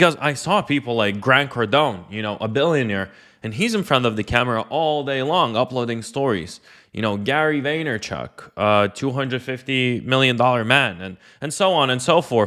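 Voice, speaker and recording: On a very clean recording with a silent background, a man at medium pitch talks at a moderate pace in a bright, sharp tone with lively intonation. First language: not English. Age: 20s. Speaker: online entrepreneur and coach. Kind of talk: personal story monologue. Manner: casual, filler-heavy.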